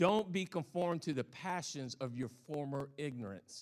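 A man with a Southern US accent talks at a fairly slow pace. His fairly high pitch carries lively intonation. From US South. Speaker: pastor. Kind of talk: sermon. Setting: church.

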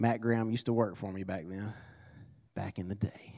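In a very clean recording with a silent background, a man talks fairly quickly. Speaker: business owner preaching as guest. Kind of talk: sermon. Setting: church service with congregation.

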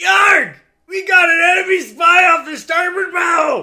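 Shouting in a put-on character voice, the speaker moves at a fairly slow pace. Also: man, extremely high pitch for a man.

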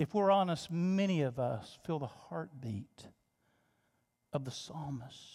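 Long, frequent pauses break up this man's speech, and his pitch swings very widely. His voice sits fairly high, with a dark, mellow, somewhat breathy tone. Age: 50s. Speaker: pastor. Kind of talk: sermon. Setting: church. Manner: halting.

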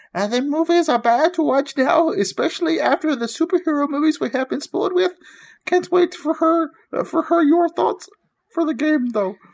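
The speaker uses a put-on character voice that is high and squeaky. The pace is moderate. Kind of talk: mocking impression of a commenter. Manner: terrible, silly.

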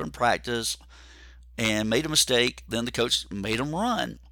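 A man's medium-pitched voice has a bright, sharp tone and some vocal fry. His intonation is lively, and the recording is very clean with a silent background. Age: 50s. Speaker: podcast host and endurance coach. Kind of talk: solo podcast monologue. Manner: halting with fillers.

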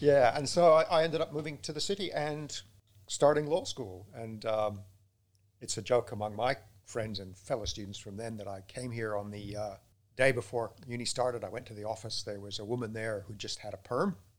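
A man's plain, everyday voice at a moderate pace and medium pitch, with ordinary pitch variation and big swings in loudness. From England, raised in Canada and elsewhere. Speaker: law lecturer and student support. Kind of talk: casual interview chat. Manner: jokey, humorous.

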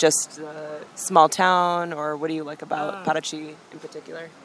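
A woman's very deep, low voice with a Chicago accent. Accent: Chicago American English. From Chicago, US Midwest. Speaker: travel podcast host. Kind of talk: casual travel monologue and interview. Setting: outdoors at a busy cafe (interview part).

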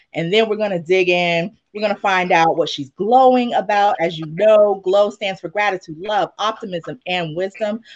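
In a normal speaking voice, the speaker goes at a moderate pace with hardly any pauses. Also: woman, medium pitch for a woman, ordinary pitch variation. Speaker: podcast host. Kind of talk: casual interview chat. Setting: video call.

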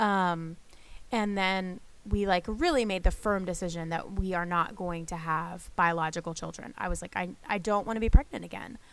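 A woman with an American accent speaks in a plain, everyday voice at medium pitch and a moderate pace, with ordinary pitch variation and big swings in loudness. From northern US. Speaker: podcast host, pastor's wife and mother. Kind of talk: casual chat.

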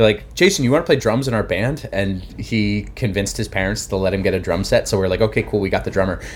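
At a very fast pace with hardly any pauses, a man speaks in a fairly low voice with vocal fry and ordinary pitch variation. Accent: American. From New Jersey, near Philadelphia. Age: 30s. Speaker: musician. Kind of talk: casual chat.

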